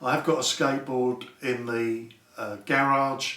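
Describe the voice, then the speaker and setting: Over noticeable background noise and audible room echo, a man talks very slowly at a medium pitch. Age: 50s. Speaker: YouTuber, health and safety worker. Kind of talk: unboxing video, casual monologue. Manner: halting, many fillers.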